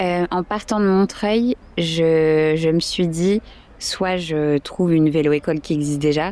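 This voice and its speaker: A woman's fairly low voice, very slow and fairly even in intonation, over noticeable background noise. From France, Toulouse. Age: 20s. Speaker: volunteer cycling instructor. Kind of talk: interview. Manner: hesitant, many fillers.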